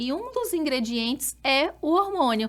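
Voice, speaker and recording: Her intonation rises and falls in a lively way. This woman keeps a moderate pace. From Brazil, Rondônia (Porto Velho). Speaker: doctor specializing in women's health. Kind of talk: podcast interview.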